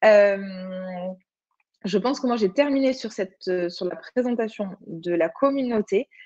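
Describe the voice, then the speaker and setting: A woman with a southern French accent, fairly high pitch, ordinary pitch variation, a fairly slow pace and long, frequent pauses. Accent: southern French (Occitan). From Occitanie, southern France. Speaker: online platform community manager presenter. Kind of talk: webinar presentation with screen demo. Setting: video conference webinar. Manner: hesitant, many fillers.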